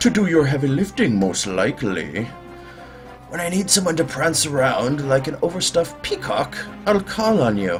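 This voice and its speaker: A man does a put-on character voice at a fairly high pitch. He keeps a moderate pace while clear music plays in the background. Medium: role play.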